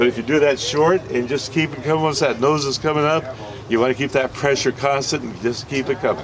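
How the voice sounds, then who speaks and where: Over noticeable background noise, a man with a fairly high voice talks at a very fast pace with fairly even intonation. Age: 70s. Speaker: fishing charter captain. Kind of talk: safety briefing and instruction. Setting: outdoors on a boat. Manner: casual.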